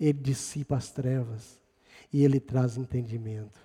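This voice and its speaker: A man talks at a medium pitch. His tone is dark, mellow and somewhat breathy. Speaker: preacher. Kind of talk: sermon. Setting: church. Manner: animated, rhetorical, with rhythmic repetition and praise interjections; conversational, addressing congregation directly.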